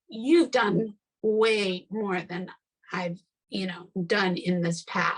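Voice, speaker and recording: A woman talks at a very slow pace, her voice somewhat breathy. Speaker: podcast host. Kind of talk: casual chat. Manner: animated.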